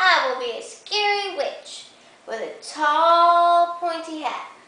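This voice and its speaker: A woman does a put-on character voice at an extremely high pitch. She goes at a fairly slow pace with a slight echo. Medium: read story.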